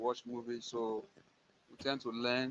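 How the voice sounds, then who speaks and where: The speaker has a Nigerian accent and a moderate pace. The intonation is monotone and flat. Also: man. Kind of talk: live stream talk show. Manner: halting.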